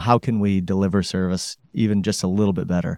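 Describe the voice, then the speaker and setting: Speaking at a fairly quick pace, a man uses a monotone, flat intonation and a dark, mellow tone. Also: very clean recording, silent background. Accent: Upper Midwest. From Grand Rapids, Michigan. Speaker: company president. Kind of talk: interview.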